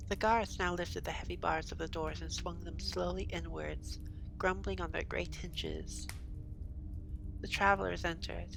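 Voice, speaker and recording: A woman speaks in a soothing tone at a moderate pace, with music in the background. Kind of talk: audiobook-style reading aloud of a novel.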